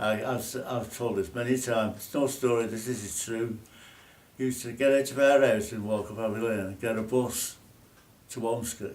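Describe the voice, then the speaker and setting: Someone with a Lancashire accent talks at a moderate pace and fairly even intonation, with audible room echo and noticeable background noise. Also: man, medium pitch for a man. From northern England, Burscough, Lancashire. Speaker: former RAF national serviceman. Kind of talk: casual reminiscing chat.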